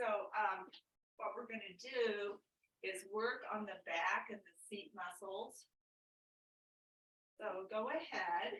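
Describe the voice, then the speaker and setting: A woman of medium pitch speaks at a very slow pace with long, frequent pauses, ordinary pitch variation and big swings in loudness. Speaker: exercise instructor. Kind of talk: exercise class instruction. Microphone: too quiet for some participants' speakers.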